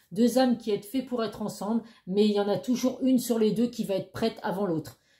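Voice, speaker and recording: A woman talks at a fairly quick pace in a fairly high pitch with ordinary pitch variation. Her tone is dark and mellow, and somewhat breathy. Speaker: tarot card reader. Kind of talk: tarot reading monologue. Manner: fast; hesitant, many fillers.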